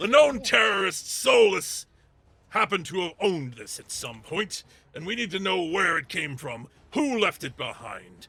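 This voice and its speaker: In a loud, gruff put-on character voice, a man speaks at a moderate pace with a high pitch. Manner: authoritative, interrogating.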